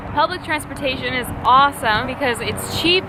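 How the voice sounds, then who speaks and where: Loud and at a fairly quick pace, a woman with a high pitch and ordinary pitch variation talks over noticeable background noise. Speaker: vlogger. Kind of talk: casual vlog talk to camera. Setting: outdoors by the sea. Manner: loud, speaking up over wind; animated.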